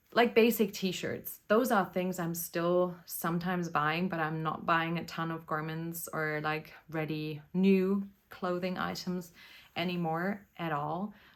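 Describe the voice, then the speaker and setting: A woman with a German accent speaks in a fairly low pitch at a fairly slow pace. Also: fairly even intonation. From Germany. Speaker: knitting podcaster. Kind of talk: casual chat. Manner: casual, hesitant with fillers.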